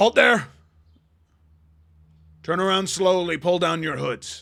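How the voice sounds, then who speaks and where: A gruff, put-on character voice delivers its lines at a fairly slow pace. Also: man, high pitch for a man. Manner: commanding.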